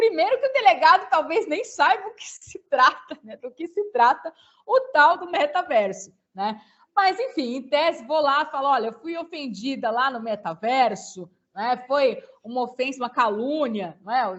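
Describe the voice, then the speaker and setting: A woman with a high pitch speaks at a moderate pace, her pitch swinging very widely and her loudness shifting a lot. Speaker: law lecturer. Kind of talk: webinar talk answering questions.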